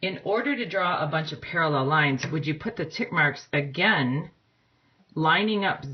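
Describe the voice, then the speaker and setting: Ordinary pitch variation shapes a woman's delivery at a moderate pace. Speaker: math teacher. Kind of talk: tutorial. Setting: at home, recording on a phone. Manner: loud. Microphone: phone mic with a weight on top.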